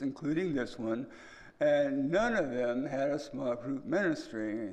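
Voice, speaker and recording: This man has an unremarkable speaking voice, pitched fairly high. He speaks fairly slowly with lively intonation. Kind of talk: church talk. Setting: church.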